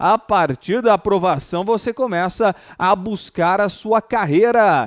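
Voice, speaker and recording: An animated man with a high pitch for a man, in a dry, close sound with no echo. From interior São Paulo state, Brazil (Ribeirão Preto). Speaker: law professor. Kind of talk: online exam-prep lecture. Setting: live stream. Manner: animated, informal.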